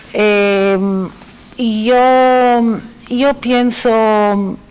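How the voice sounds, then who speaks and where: A woman's fairly high voice with a non-native accent. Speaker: academic, chair director. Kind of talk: panel discussion.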